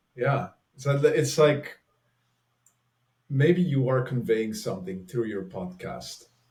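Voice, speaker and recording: A man at a medium pitch speaks very slowly in a strong Flemish accent, his pitch swinging very widely, his voice somewhat breathy and broken by long, frequent pauses. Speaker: author and relating facilitator. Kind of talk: casual interview conversation.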